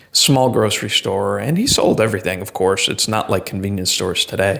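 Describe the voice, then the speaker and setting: A man in a New England accent, with ordinary pitch variation. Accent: Yankee. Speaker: vlogger. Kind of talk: casual monologue. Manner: hesitant, many fillers.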